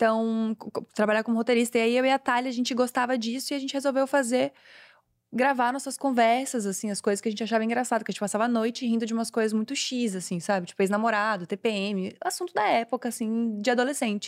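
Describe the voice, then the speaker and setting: Very fast speech with ordinary pitch variation comes through on a very clean recording with a silent background. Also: woman, fairly high pitch for a woman, dry, close sound with no echo. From southern Brazil, Florianópolis. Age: 20s. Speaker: comedian and content creator. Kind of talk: casual chat.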